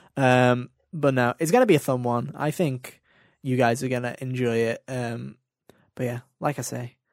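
His voice sits at a medium pitch, with intonation that stays fairly even. The audio is very clean, and nothing can be heard behind him. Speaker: gaming podcast host. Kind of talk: casual chat.

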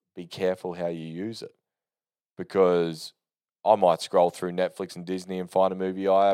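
A man with an Australian accent speaks in a very deep, low pitch. His tone is dark and mellow on a very clean recording with a silent background. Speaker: podcast host. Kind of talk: casual solo monologue. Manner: unscripted, rambling with fillers.

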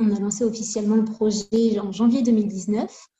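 Her voice is somewhat breathy, with a dark, mellow tone and a fairly high pitch for a woman. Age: 20s. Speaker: cosmetics formulator and brand co-founder. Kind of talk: interview.

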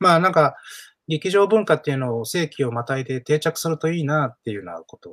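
Lively intonation marks this man's fairly high-pitched voice. He talks at a very fast pace. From Osaka, partly raised in Hong Kong. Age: 40s. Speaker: playwright and theatre director. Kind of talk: casual interview talk.

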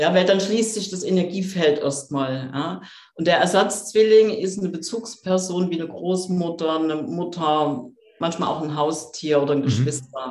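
Noticeable background noise and audible room echo surround a woman speaking at a moderate pace. Her pitch is fairly low, with ordinary variation. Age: 50s. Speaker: coach and author. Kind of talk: interview.

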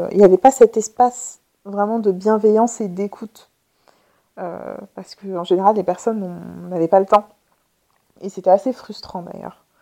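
A woman speaks at a moderate pace in a medium pitch, her tone dark and mellow, with big swings in loudness. The sound is dry and close with no echo, broken by long, frequent pauses. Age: 30s. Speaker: podcast host and therapist. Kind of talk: casual solo monologue. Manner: spontaneous, hesitant with fillers.

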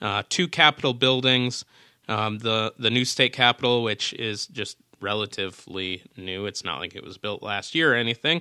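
At a moderate pace, a man with an American accent and medium pitch talks in an unremarkable speaking voice with ordinary pitch variation. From Minnesota. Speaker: travel podcast host. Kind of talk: casual chat.

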